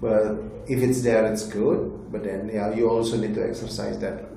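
A man with a medium pitch and an Indonesian accent speaks with fairly even intonation. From Indonesia, Bali. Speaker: tech company executive. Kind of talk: interview.

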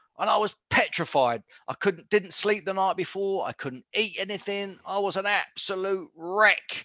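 A man with a southern English accent speaks in a raised, projected voice. His pitch is high and he hardly pauses. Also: ordinary pitch variation, moderate pace, quiet background. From Luton, Bedfordshire, England. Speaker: former professional boxer. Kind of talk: interview.

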